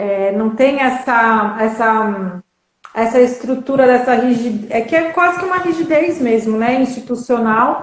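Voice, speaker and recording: Her pitch high and its variation ordinary, a woman talks at a fairly slow pace. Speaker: artist. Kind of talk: live online interview, host.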